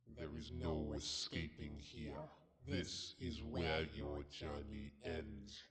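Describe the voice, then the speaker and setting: Using a put-on character voice, a man talks very slowly at a very deep, low pitch. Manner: menacing.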